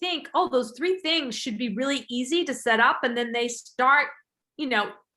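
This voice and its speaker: A woman's raised, projected voice carries a bright, sharp tone, pitched high with lively intonation. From England. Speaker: podcast host. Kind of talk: casual interview chat.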